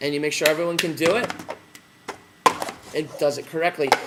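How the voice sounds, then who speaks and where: A man speaks loudly over noticeable background noise. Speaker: teacher trainer. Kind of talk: tutorial. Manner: casual with fillers.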